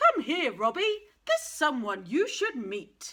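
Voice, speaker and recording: A woman puts on a character voice with a high pitch and very wide pitch swings, speaking at a fairly slow pace. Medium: read story.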